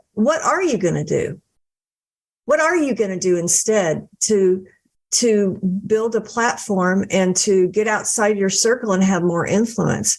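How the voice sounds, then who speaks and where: In an unremarkable speaking voice, a woman talks at a fairly slow pace with very even loudness and ordinary pitch variation over a quiet background. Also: medium pitch for a woman. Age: 60s. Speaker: author and book coach. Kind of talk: podcast interview.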